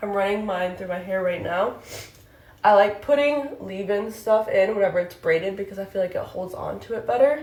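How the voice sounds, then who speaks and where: Noticeable background noise sits under a woman with a medium pitch and ordinary pitch variation. She speaks fairly quickly, and her loudness swings widely. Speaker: beauty content creator. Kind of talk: tutorial. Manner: out of breath.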